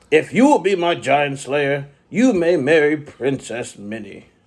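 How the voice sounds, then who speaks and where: Putting on a character voice, a man speaks fairly slowly at a fairly high pitch. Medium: read story.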